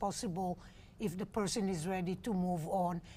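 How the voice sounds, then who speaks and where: A woman with an Israeli accent speaks at a moderate pace. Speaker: homeless day center director. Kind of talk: interview conversation.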